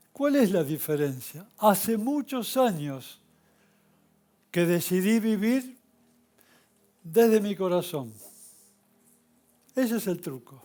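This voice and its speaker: A man speaks very slowly in a dark, mellow tone, leaving long, frequent pauses. His pitch is high for a man and swings very widely. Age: 70s. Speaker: spiritual teacher. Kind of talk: spiritual talk. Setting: stage with audience.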